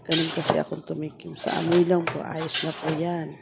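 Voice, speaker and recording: The speech comes at a moderate pace. Background noise is noticeable throughout. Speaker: food vendor vlogger. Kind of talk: cooking vlog voice-over.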